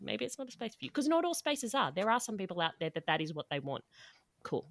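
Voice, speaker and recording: A woman speaks with an Australian accent and lively intonation. The sound is dry and close, with no echo. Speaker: podcast host, dietitian. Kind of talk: casual chat, podcast crossover conversation.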